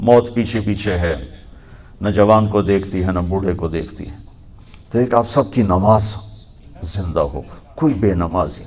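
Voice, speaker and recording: In a plain, everyday voice, the speaker shows big swings in loudness and ordinary pitch variation. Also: man, fairly low pitch for a man. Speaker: Islamic preacher. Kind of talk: religious sermon to a youth audience.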